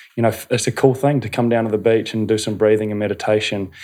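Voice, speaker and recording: In a New Zealand accent, a man at medium pitch speaks with a dark, mellow tone and monotone, flat intonation against a quiet background. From New Zealand, North Canterbury. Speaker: breathwork and meditation facilitator. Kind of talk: casual interview. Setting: studio.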